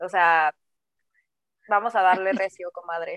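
Moderate pace from a female speaker, the sound dry and close with no echo. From Mexico City. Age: 20s. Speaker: podcast co-host. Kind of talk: casual chat.

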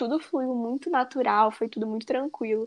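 Pitch variation stays ordinary. The pace is moderate. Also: woman. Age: 20s. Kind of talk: casual chat.

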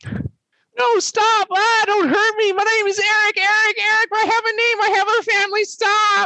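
Someone uses a put-on character voice with an extremely high pitch at a moderate pace. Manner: panicked, pleading.

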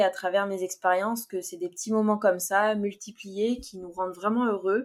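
This is a normal speaking voice at a moderate pace. Its intonation stays fairly even. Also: woman. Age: 20s. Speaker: podcast host. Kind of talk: casual solo podcast monologue.

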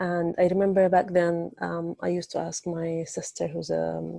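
A woman speaks with an Arabic accent at a fairly slow pace. The sound is dry and close with no echo, on a very clean recording with a silent background. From Egypt. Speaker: translator. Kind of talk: interview. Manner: halting, many fillers.

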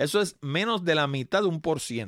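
In a very clean recording with a silent background and a dry, close sound with no echo, a man speaks at a fairly high pitch with lively intonation. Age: 60s. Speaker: podcast host. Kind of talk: solo podcast monologue.

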